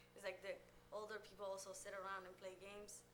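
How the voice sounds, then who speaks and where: Audible room echo and noticeable background noise fill the recording. A woman speaks at a moderate pace. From Somalia. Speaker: oral history interviewee. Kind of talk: interview. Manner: halting.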